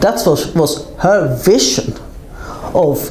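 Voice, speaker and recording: A woman with a very deep, low pitch is heard with audible room echo and noticeable background noise. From Sweden. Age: 60s. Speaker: film producer. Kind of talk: interview conversation.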